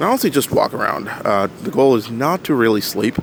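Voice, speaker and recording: A man speaks at a fairly quick pace, with noticeable background noise present. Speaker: commercial pilot and landscape photographer vlogger. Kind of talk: travel vlog narration. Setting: hotel room; on a train. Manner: casual, hesitant with fillers.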